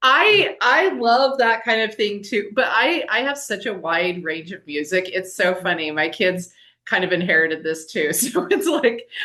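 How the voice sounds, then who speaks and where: Over a quiet background, a woman talks at a fairly slow pace with hardly any pauses, her bright, sharp, animated tone making very wide pitch swings. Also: medium pitch for a woman. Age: 40s. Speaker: podcast host. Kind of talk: casual interview chat.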